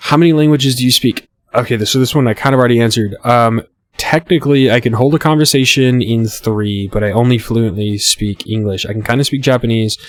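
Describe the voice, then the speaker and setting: Speaking at a very fast pace, a man holds a medium pitch. His pitch varies in an ordinary way. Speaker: gaming YouTuber. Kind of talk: casual chat. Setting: home recording with webcam. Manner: halting.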